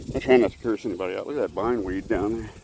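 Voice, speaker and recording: A man talks very fast with an American accent. Noticeable background noise runs under his voice. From Texas, Houston. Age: 50s. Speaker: vlogger. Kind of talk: casual vlog monologue. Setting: outdoors, walking along a road.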